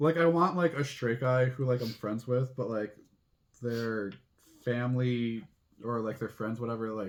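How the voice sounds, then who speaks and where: A man speaks at a moderate pace and medium pitch with ordinary pitch variation. Long, frequent pauses break up his speech. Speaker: drag queen, channel host. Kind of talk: casual chat. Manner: stumbles over words.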